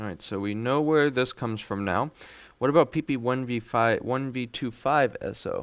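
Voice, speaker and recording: This man talks at a moderate pace in a medium pitch, with ordinary variation in his pitch. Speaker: electronics repair technician. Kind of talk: live stream tutorial. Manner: informal, relaxed.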